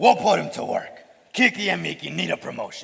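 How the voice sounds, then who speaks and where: A man talks at a fairly quick pace in a put-on character voice. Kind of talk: school play acting. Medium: stage play.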